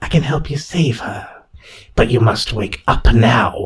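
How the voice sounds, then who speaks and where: Putting on a character voice, a man sounds raspy at a fairly high pitch. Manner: hissing.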